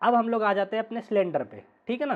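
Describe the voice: A man speaks fast in a high voice. His intonation is lively.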